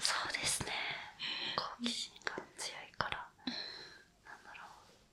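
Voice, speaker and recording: A calm, whispering woman against noticeable background noise. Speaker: rental friend (errand and companionship service worker). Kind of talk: interview answer. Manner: soft-spoken, calm, conversational.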